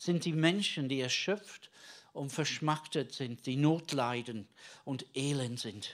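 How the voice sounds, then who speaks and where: A very clean recording with a silent background of a man at a very slow pace, medium pitch and ordinary pitch variation. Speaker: preacher. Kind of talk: sermon. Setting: church. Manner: conversational and earnest, halting with filler words; teaching tone, explaining the Bible and addressing the congregation.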